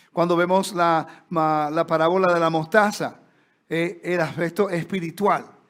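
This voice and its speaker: In a very clean recording with a silent background, a man with a Puerto Rican accent speaks at a high pitch with fairly even intonation. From Puerto Rico. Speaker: Bible teacher. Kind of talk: lecture. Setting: stage with audience. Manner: conversational.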